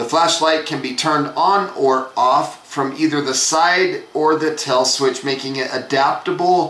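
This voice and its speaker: Over noticeable background noise and audible room echo, a man speaks fairly slowly with fairly even intonation. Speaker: flashlight reviewer. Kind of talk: product review.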